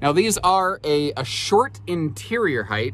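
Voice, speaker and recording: A somewhat breathy man at a fairly slow pace with very wide pitch swings, on a very clean recording with a silent background. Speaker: RV dealer presenter. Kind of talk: product walkthrough tour. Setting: inside small camper trailer. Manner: casual, halting with fillers.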